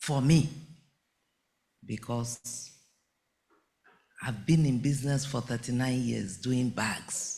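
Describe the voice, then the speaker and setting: A man speaks at a very slow pace with long, frequent pauses, at medium pitch and with fairly even intonation. His tone is dark, mellow and somewhat breathy. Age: 70s. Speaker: entrepreneur, bag maker. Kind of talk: conference speech.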